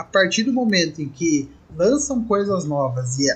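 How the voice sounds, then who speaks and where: A man's high pitch with very wide swings at a fairly slow pace. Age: 20s. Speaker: podcaster. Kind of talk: casual chat.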